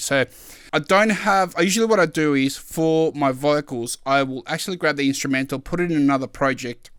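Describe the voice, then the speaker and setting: Speaking at a fairly quick pace with ordinary pitch variation, a man has an ordinary speaking voice, captured on a very clean recording with a silent background. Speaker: music producer. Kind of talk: tutorial. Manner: casual, many filler words.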